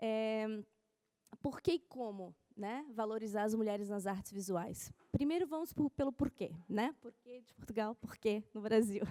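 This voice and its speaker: A woman speaks fairly slowly at a fairly high pitch, with ordinary pitch variation. Her tone is dark and mellow, and the sound is dry and close with no echo. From Brazil. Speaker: art curator. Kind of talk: conference talk.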